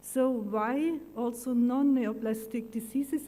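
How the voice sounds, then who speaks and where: In a German accent, a woman speaks very slowly at a high pitch with a dark, mellow tone and fairly even intonation, with audible room echo. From Germany. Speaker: pathologist. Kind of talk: conference talk.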